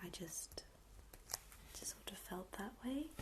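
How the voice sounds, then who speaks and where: The speaker is soft-spoken. The accent is American. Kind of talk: ASMR soft-spoken chat.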